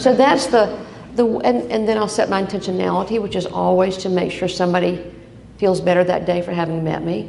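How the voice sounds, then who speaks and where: A woman's medium-pitched voice carries lively intonation, with noticeable background noise and audible room echo. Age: 70s. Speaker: breast cancer survivor speaker. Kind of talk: personal testimony speech. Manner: animated.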